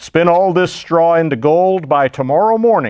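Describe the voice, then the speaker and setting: A man talks at a moderate pace in a put-on character voice. His pitch sits high. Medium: read story. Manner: commanding.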